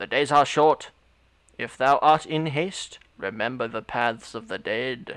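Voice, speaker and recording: In a very clean recording with a silent background, a man does a put-on character voice at medium pitch and a fairly slow pace. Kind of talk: archaic, formal. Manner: solemn.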